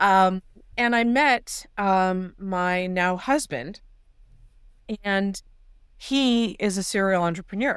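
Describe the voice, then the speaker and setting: On a very clean recording with a silent background, a woman with a Californian accent speaks very slowly at a medium pitch, with long, frequent pauses, ordinary pitch variation and very even loudness. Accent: Californian American. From Los Angeles, San Fernando Valley. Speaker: doctor and tech entrepreneur. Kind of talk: interview.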